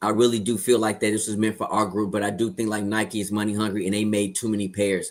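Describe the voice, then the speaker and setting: A man with a fairly low pitch talks at a very fast pace in a monotone, flat intonation. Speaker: sneaker show panelist. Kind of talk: casual chat. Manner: loud.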